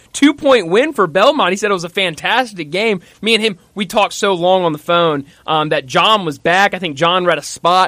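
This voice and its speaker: Raised and projected, a man's high voice carries lively intonation and a bright, sharp tone. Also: moderate pace. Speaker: sports radio host. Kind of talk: sports radio talk show.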